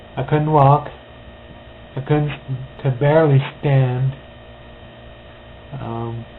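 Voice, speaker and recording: A man's medium-pitched voice at a very slow pace, flat and monotone, with long, frequent pauses and noticeable background noise. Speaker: stroke survivor. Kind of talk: personal testimony. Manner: slightly impeded speech; hesitant, with fillers.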